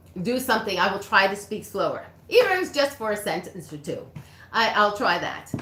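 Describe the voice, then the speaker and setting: A woman's voice with audible room echo. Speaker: reiki practitioner. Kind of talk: livestream chat. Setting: livestream.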